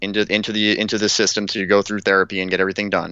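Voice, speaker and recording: A very fast, monotone, flat delivery from a man with a fairly low pitch. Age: 30s. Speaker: war veteran. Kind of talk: casual chat.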